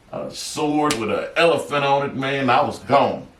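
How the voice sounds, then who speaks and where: Noticeable background noise and audible room echo fill the space. A man talks at a fairly slow pace. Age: 60s. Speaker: author sharing near-death experiences. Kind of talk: interview storytelling. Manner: halting, many filler words.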